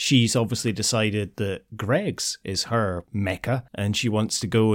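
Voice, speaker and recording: Recorded dry and close with no echo against a silent background in a very clean recording, a man with a Scottish accent speaks at a moderate pace and medium pitch. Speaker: podcast host. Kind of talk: casual chat.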